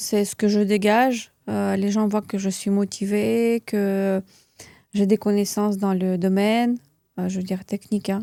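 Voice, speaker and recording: A woman with a Russian accent talks at a fairly slow pace in a medium pitch with a dark, mellow tone and monotone, flat intonation. The very clean recording has a silent background and a dry, close sound with no echo. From Russia (moved to France at 11). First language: Russian (speaking French). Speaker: beauty entrepreneur and trainer. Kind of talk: interview. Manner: halting, many fillers and repeats.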